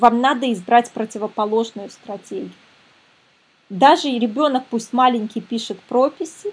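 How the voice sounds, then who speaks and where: An ordinary speaking voice, this woman's is fairly high, moving at a moderate pace with ordinary pitch variation. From Belarus, Minsk. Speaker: psychologist and parenting coach. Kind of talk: webinar lecture. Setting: online webinar.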